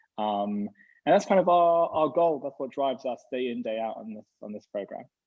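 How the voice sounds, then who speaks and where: With a British accent, a man talks in lively intonation and big swings in loudness. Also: medium pitch for a man, moderate pace. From UK. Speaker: rabbi and gap year program educator. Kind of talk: online information session interview.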